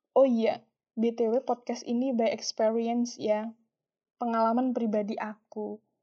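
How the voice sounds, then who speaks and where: Very slowly, a woman speaks. Her voice sits high. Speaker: solo podcaster. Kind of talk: casual monologue.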